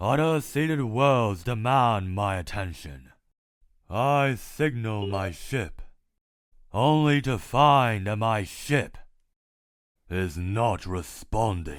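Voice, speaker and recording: A man in a put-on character voice, medium-pitched, at a very slow pace with long, frequent pauses. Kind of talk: comic dub, multiple character voices. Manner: calm, detached.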